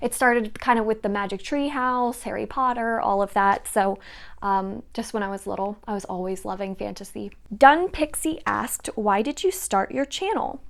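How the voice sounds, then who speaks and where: An unremarkable speaking voice with ordinary pitch variation goes at a moderate pace on a very clean recording with a silent background. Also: woman, fairly high pitch for a woman. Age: 20s. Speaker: book YouTuber. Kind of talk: casual Q&A vlog.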